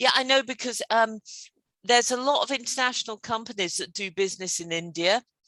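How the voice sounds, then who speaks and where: In a British accent, a woman with a fairly high pitch and a bright, sharp tone talks at a moderate pace with lively intonation, in a very clean recording with a silent background and a dry, close sound with no echo. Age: 50s. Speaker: English teacher. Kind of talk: casual conversation lesson.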